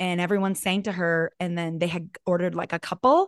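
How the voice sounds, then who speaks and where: A woman with an unremarkable speaking voice talks at a moderate pace with fairly even intonation, in a dry, close sound with no echo and a quiet background. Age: 40s. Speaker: podcast co-host. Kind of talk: casual chat.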